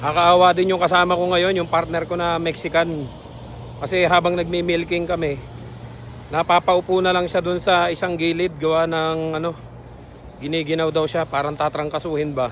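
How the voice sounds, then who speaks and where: At a moderate pace, a man speaks in a high voice with monotone, flat intonation. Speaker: vlogger, dairy farm worker. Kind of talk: casual vlog talk.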